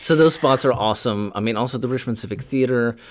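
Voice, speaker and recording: The recording is very clean, with a silent background. A man talks with vocal fry. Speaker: professor and TikTok educator. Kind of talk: casual interview chat.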